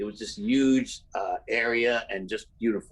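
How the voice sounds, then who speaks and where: At a moderate pace, a man with a medium pitch and fairly even intonation speaks in a plain, everyday voice. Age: 60s. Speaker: musician and producer. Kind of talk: casual chat.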